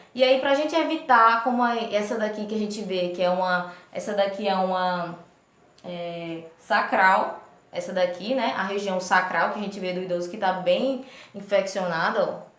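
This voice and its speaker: Recorded with audible room echo, a woman of medium pitch speaks at a moderate pace with ordinary pitch variation. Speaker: nursing instructor. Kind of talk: lecture.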